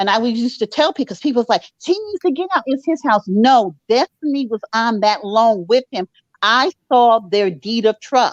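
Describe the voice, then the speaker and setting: Heard as a dry, close sound with no echo, a normal speaking voice moves at a moderate pace with lively intonation. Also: woman, fairly high pitch for a woman. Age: 60s. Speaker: mortgage underwriter. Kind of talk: casual chat.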